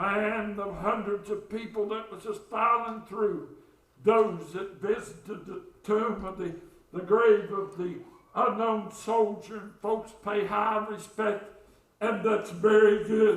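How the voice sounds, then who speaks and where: A man's high voice with an Appalachian accent at a very slow pace, monotone, flat intonation and big swings in loudness, amid noticeable background noise and audible room echo. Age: 60s. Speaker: pastor. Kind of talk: sermon. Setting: church.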